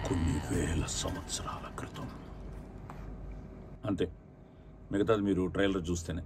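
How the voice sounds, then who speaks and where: A man's very deep, low voice carries ordinary pitch variation. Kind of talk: film trailer launch promo announcement. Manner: upbeat, enthusiastic.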